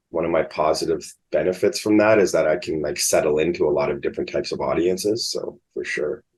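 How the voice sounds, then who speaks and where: This man talks at a very fast pace with a Canadian accent. He hardly pauses at all. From Canada, moved around (Winnipeg, Texas, Ottawa). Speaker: stand-up comedian. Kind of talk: casual interview chat.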